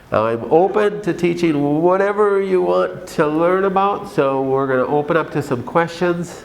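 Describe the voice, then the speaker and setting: A man speaks at a moderate pace in a Minnesotan accent, with lively intonation. Audible room echo surrounds his voice. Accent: Minnesota. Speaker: doctor. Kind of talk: conference talk. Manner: animated.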